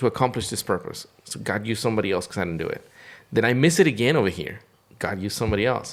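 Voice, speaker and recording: Talking at a very fast pace, a man with a fairly low pitch uses lively intonation. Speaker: podcast co-host. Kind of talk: casual chat. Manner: halting, repeats words.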